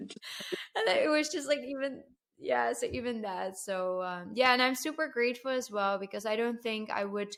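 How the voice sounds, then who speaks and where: A woman with a non-native accent speaks at a moderate pace. Her high voice has lively intonation. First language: not English. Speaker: marketing strategist and podcaster. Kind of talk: casual podcast interview. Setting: podcast recording.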